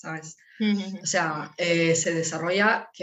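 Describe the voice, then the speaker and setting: A woman speaks with an Italian accent in a fairly low pitch. Her pace is very slow. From northern Italy. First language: Italian (speaking Spanish). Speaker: language teacher and entrepreneur mother. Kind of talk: interview. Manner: halting.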